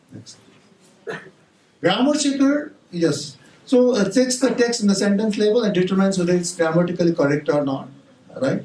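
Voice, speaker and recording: With a Nepali accent, a man speaks in a high pitch with lively intonation and long, frequent pauses, and audible room echo surrounds him. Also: moderate pace. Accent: non-native English, Nepali. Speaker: university professor. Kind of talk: conference talk. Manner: halting, many fillers and restarts.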